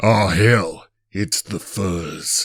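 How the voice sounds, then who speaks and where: The voice is a raspy, put-on character voice. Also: man, fairly low pitch for a man. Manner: gruff, hammy.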